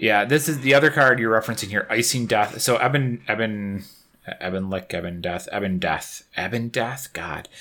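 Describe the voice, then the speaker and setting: Bright and sharp in tone, a man's voice carries an upstate New York accent, moving at a moderate pace with ordinary pitch variation. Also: medium pitch for a man. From Syracuse, New York. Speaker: podcast host. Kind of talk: casual chat, podcast. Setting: home recording.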